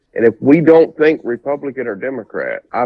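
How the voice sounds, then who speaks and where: This man has a Southern US accent. He talks at a moderate pace. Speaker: presidential candidate. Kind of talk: interview.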